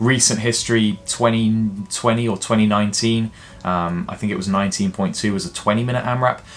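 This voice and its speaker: In an ordinary speaking voice, a man talks at a moderate pace and medium pitch with ordinary pitch variation. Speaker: fitness coach. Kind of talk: tutorial.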